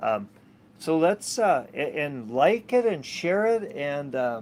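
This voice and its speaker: A man's fairly high voice with an American accent and very wide pitch swings. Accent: American, somewhat Canadian. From Minnesota, US. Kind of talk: casual vlog monologue. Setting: outdoors on a sailboat cockpit. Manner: halting, many fillers and repetitions.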